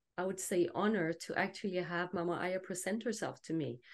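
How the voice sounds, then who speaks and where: Against a quiet background, a woman with a Danish accent speaks at a medium pitch with fairly even intonation. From Denmark. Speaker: plant medicine and genital de-armouring practitioner. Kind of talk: panel discussion.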